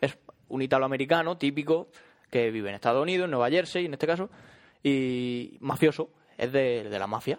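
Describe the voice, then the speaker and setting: At a fairly quick pace, a man talks in an ordinary speaking voice, medium in pitch with ordinary pitch variation. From Málaga, Andalusia, Spain. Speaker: podcast host. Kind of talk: casual chat.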